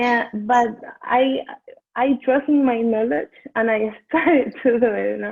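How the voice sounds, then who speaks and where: Fairly slow in pace, the speech shows ordinary pitch variation. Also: woman, high pitch for a woman. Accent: Venezuelan. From Venezuela. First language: Spanish. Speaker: dental hygiene student. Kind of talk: interview. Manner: halting.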